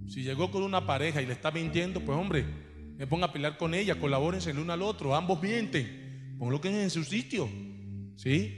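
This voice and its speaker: A man's fairly high, somewhat breathy voice makes very wide pitch swings. Room echo is audible. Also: moderate pace. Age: 40s. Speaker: pastor. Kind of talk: sermon. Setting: church.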